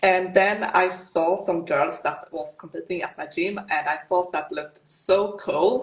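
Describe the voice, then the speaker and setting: A woman with a Swedish accent talks at a fairly slow pace with hardly any pauses and ordinary pitch variation. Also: medium pitch for a woman. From Sweden. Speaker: fitness competitor. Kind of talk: interview.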